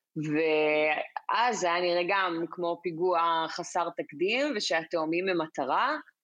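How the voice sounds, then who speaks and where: Very slow speech with hardly any pauses, ordinary pitch variation and very even loudness against a quiet background. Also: woman, fairly low pitch for a woman. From Israel. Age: 30s. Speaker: foreign news correspondent. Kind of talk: interview, explanatory.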